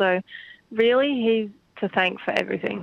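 With an Australian accent, a woman talks at a fairly quick pace. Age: 20s. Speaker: country singer. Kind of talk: radio interview.

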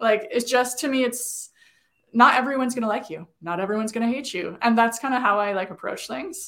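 Over a silent background in a very clean recording, a woman with a plain, everyday voice speaks at a fairly quick pace in a fairly high pitch, with ordinary pitch variation. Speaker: digital marketing agency owner. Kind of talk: casual interview.

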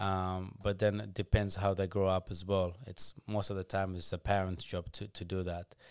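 A man speaks in a very deep, low pitch, monotone and flat, at a moderate pace with hardly any pauses. The recording is very clean with a silent background, its sound dry and close with no echo. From Ethiopia. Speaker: former professional footballer and youth program founder. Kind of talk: casual interview chat. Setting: studio.

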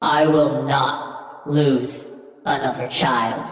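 A put-on character voice, loud and booming, with a solemn tone, low-to-middle pitch, a very slow pace and strong echo. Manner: solemn, powerful.

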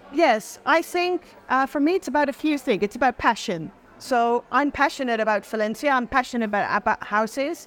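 A woman with a Dutch accent speaks at a high pitch and a fairly quick pace, her intonation lively. Her loudness stays very even, and the sound is dry and close with no echo. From Netherlands. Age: 40s. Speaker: property consultant. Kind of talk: interview.

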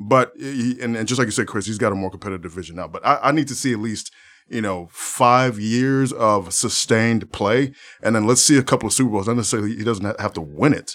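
Speaking at a very fast pace, this man has a fairly low pitch. His pitch varies in an ordinary way. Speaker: sports podcast co-host. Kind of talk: casual sports talk chat.

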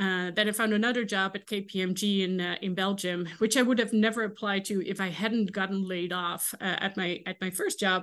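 A woman with a Dutch accent talks at medium pitch and a fairly quick pace in a monotone, flat way against a quiet background. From Netherlands. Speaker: ethics professor. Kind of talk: interview. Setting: video call. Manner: halting, many fillers.

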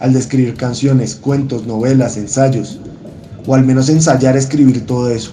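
A man's medium-pitched voice, monotone and flat, at a moderate pace, with audible room echo. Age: 30s. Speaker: historian and songwriter. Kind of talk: personal essay read aloud.

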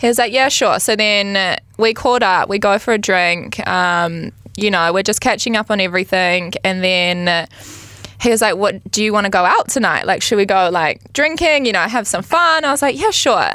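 With a New Zealand accent, a woman talks at medium pitch and a moderate pace over noticeable background noise. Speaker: reality TV star. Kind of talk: casual chat.

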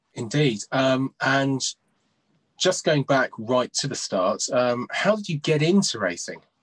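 A man's plain, everyday voice, fairly high in pitch, with lively intonation at a fairly slow pace, the sound dry and close with no echo. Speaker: betting show host. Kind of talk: interview chat.

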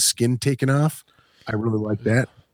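An ordinary speaking voice moves at a fairly quick pace with fairly even intonation. The sound is dry and close, without echo. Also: man. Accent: American. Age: 40s. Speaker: podcast host and band vocalist. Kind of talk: casual chat.

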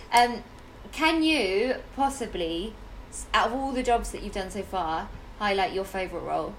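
With lively intonation and long, frequent pauses, a woman speaks in a room with audible echo and noticeable background noise. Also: medium pitch for a woman, moderate pace. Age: 30s. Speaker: podcast host and actor. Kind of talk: casual chat.

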